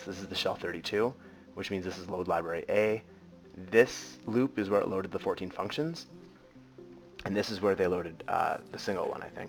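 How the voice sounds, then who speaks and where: Noticeable background noise behind a man's fairly low pitch and fairly quick pace. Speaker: malware analysis instructor. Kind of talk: live screen-share tutorial. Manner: fast; thinking aloud, hesitant with fillers.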